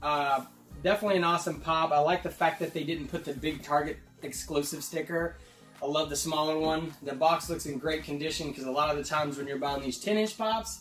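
A man talks at a fairly quick pace. Room echo is audible, and faint music plays in the background. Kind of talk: casual vlog chat. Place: home room.

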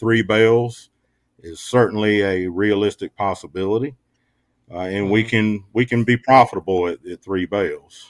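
Over a quiet background with a dry sound and no echo, a man in an ordinary speaking voice talks at a moderate pace, with a fairly low pitch and ordinary pitch variation. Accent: American. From eastern North Carolina. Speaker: agricultural extension specialist; guest. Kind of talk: radio interview. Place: home room.

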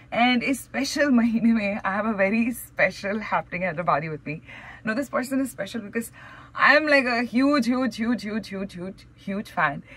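A woman's upbeat tone at a fairly high pitch, with lively intonation and a moderate pace. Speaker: radio host. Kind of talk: radio show host introduction. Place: studio. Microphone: studio mic.

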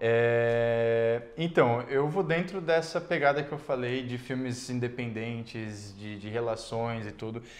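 The speech moves at a very slow pace with hardly any pauses. Pitch varies in an ordinary way, while loudness swings widely. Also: man, medium pitch for a man. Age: 30s. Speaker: YouTuber and actor; YouTuber, actor. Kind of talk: casual interview. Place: studio. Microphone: lapel.

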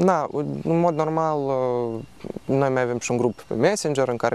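A man talks at a fairly quick pace with ordinary pitch variation. The sound is dry, with no echo. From Moldova. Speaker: student association leader; interviewee. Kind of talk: TV interview. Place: garden. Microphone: lapel.

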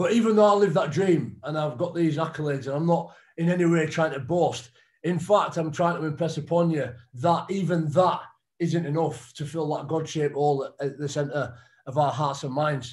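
A man with a fairly high pitch, ordinary pitch variation and moderate pace, against a quiet background. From northern England. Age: 30s. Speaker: retired rugby league player. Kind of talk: testimony. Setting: video call. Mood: reflective, earnest faith talk. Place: home room. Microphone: video call.

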